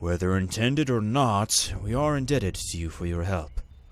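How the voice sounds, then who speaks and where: A put-on character voice delivers the words at a moderate pace. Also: man, fairly low pitch for a man, lively intonation. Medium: game stream. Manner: formal, old-fashioned.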